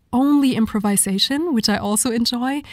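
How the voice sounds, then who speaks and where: Somewhat breathy and dark, mellow in tone, a woman speaks at a moderate pace with ordinary pitch variation, the sound dry and close with no echo. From Germany. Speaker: vocalist. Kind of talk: interview. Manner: halting.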